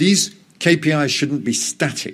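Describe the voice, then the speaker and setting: At a moderate pace, a man speaks in a very clean recording with a silent background. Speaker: EU road safety official. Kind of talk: conference speech. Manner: halting, many fillers.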